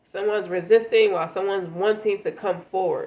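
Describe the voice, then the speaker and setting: Noticeable background noise fills the space behind this woman's speech. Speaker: tarot reader. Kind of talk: tarot reading. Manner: halting.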